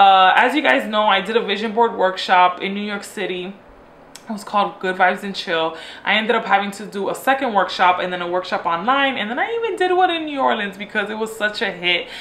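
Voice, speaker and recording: Talking at a fairly quick pace, a woman is heard through noticeable background noise and audible room echo. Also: medium pitch for a woman, ordinary pitch variation. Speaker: lifestyle vlogger. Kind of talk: casual chat. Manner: fast; animated.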